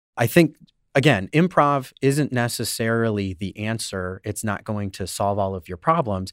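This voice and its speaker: A man with an unremarkable speaking voice talks at a moderate pace with lively intonation and big swings in loudness. The recording is very clean with a silent background, and the sound is dry and close with no echo. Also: medium pitch for a man. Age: 30s. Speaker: comedy producer and improv performer. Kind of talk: interview.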